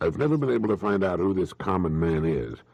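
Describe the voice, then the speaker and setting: Over a quiet background, a man with a very deep, low pitch and vocal fry talks at a fairly quick pace with very wide pitch swings. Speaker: motivational speaker. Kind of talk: motivational talk / speech. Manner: measured, conversational, earnest.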